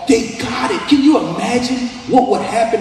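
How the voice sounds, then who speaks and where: A man's voice comes with audible room echo and music in the background. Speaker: pastor. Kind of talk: sermon. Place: hall.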